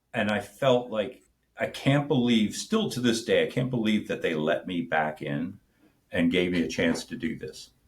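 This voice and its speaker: Showing vocal fry, a man talks at a moderate pace and medium pitch with lively intonation. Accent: American. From US Mid-Atlantic (Wilmington, Delaware). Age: 60s. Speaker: army reserve officer and entrepreneur. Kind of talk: interview, casual conversation. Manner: halting, many fillers.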